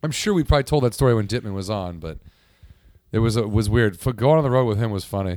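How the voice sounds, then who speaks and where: On a very clean recording with a silent background, a man with a medium pitch and an American accent talks at a very fast pace with lively intonation. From small town in Texas. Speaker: comedian. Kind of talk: casual chat. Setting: studio.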